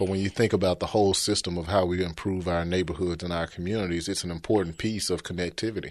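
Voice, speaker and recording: Against a quiet background, a man with a Memphis accent speaks very fast with hardly any pauses, in a very deep, low pitch and monotone, flat intonation. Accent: Southern US (Memphis). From Memphis, Tennessee. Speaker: city housing official. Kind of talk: interview.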